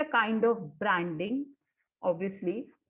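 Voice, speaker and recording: A woman talks at a moderate pace with ordinary pitch variation. She has a plain, everyday voice. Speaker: corporate trainer. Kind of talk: webinar presentation.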